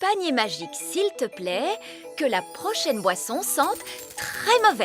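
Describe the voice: In a cartoonish character voice, a woman talks at a high pitch and fairly slow pace with a fairly bright tone and big pitch swings, faint music playing behind her.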